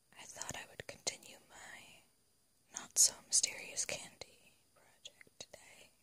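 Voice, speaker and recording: The whispering goes at a very slow pace. Beneath it, noticeable background noise persists. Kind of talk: ASMR whisper talk to camera.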